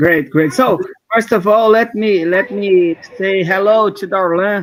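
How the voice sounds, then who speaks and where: A man with a Brazilian Portuguese accent talks at a fairly slow pace in a high pitch, with ordinary pitch variation. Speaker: software developer, open source mentor. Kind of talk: live coding stream. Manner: halting.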